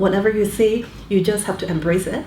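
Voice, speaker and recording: At a fairly quick pace, a woman of medium pitch speaks with fairly even intonation, with audible room echo and noticeable background noise. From Canada, born in Hong Kong. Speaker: business executive. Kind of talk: interview. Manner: hesitant fillers, frequent okay.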